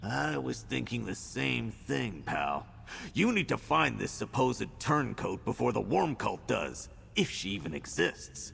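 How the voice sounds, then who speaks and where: A man puts on a character voice with a very deep, low pitch. He goes at a fairly slow pace over clear background noise. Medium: video game. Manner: blunt, colloquial.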